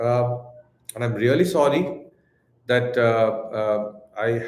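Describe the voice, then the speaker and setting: A man with a Tamil Indian accent at a very slow pace, with audible room echo. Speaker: crypto exchange co-founder. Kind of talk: live Q&A stream. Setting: live stream. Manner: hesitant, many fillers and repeats.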